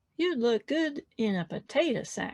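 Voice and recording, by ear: A woman puts on a character voice in a Texan accent, pitched high and delivered at a fairly slow pace.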